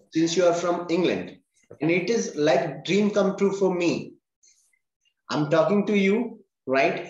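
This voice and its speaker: Keeping very even loudness, a man speaks fairly slowly in a high pitch with ordinary pitch variation and long, frequent pauses. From India. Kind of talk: interview host, casual talk. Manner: hesitant, many fillers.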